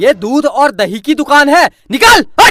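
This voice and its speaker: A gruff, high-pitched put-on character voice at a moderate pace. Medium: cartoon. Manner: gruff, scolding.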